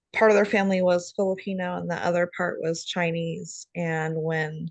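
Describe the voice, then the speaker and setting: Her normal speaking voice sits fairly low for a woman, moving at a moderate pace with fairly even intonation. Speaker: nursing student. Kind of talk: class discussion.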